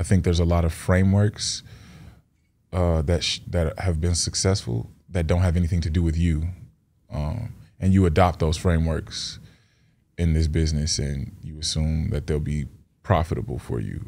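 With a dark, mellow tone and a very deep, low pitch, a man speaks at a moderate pace with ordinary pitch variation and long, frequent pauses. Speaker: rapper. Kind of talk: casual interview. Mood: calm, reflective. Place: studio. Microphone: studio mic.

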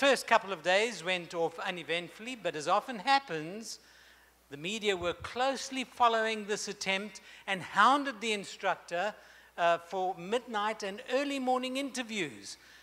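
At a moderate pace, a man uses a raised, projected voice with a bright, sharp tone and ordinary pitch variation. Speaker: speaker. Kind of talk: sermon. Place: hall. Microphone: handheld.

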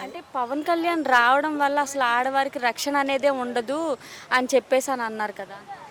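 A woman's high-pitched voice, ordinary in pitch variation, with big swings in loudness and noticeable background noise. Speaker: street interviewer. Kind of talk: interview questions.

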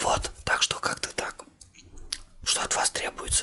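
A man whispers at a moderate pace. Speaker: ASMR channel host. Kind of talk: casual vlog chat.

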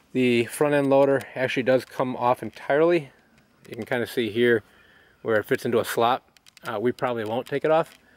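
The man's delivery is fairly quick and fairly even in intonation, with a dry sound and no echo. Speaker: tractor owner. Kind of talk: casual walkaround commentary. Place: garden.

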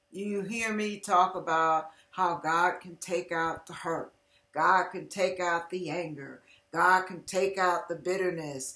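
In a room with audible echo, a woman speaks very slowly in a fairly low voice with fairly even intonation. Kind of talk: inspirational testimony talk. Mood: earnest, heartfelt. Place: home room. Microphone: webcam.

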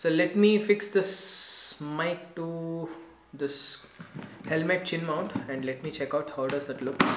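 A man speaks very slowly with ordinary pitch variation, with audible room echo and light background noise. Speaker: vlogger. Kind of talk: casual unboxing tutorial. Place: home room. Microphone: camera far.

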